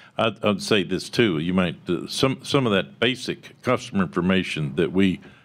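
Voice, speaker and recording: This man's voice sits very deep and low, with vocal fry. He speaks in a Texan accent. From Texas. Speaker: tech company founder; conference panelist. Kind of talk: panel discussion. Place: meeting room. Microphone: podium.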